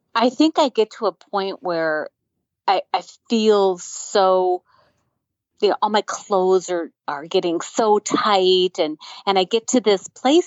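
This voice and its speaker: A woman speaks at a fairly slow pace and a medium pitch, with ordinary pitch variation. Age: 60s. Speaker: coaching client. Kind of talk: coaching session. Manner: halting.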